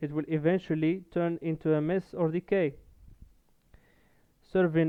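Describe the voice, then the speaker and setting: The speaker has a non-native accent and talks at a fairly slow pace in a flat, monotone intonation. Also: man. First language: not English. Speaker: gaming content creator. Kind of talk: video essay monologue. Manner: halting, frequent fillers and restarts.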